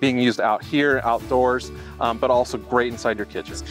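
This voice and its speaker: A man speaks with a dry sound and no echo. Faint music plays in the background. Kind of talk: product explanation in interview. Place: street. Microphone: camera far.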